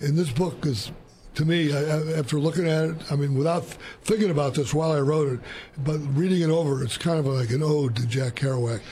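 A man speaks at a fairly quick pace, fairly high in pitch, with a dark, mellow tone. His pitch varies in an ordinary way, and room echo is audible.

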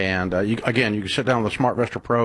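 A man's fairly low voice at a fast pace

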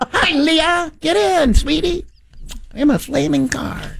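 At a fairly slow pace, a woman uses a put-on character voice pitched high. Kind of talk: theatrical. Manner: campy, flamboyant, sweet.

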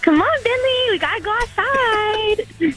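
A woman uses a put-on character voice at an extremely high pitch and moderate pace, with clear background noise behind her. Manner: cute, coaxing.

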